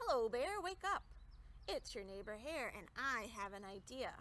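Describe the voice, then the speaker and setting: A woman uses a put-on character voice, pitched high, at a moderate pace. Light background noise sits underneath. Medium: read story. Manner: friendly, persuasive.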